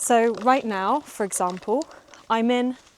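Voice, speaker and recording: A woman speaks with a British accent. Her pace is fairly slow and her pitch varies in an ordinary way. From UK. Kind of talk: casual vlog talk to camera. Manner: slow, clear.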